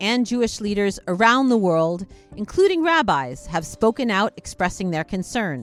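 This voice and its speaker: With music in the background, a woman speaks at medium pitch and a moderate pace, her pitch swinging very widely. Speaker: podcast host. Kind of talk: podcast introduction.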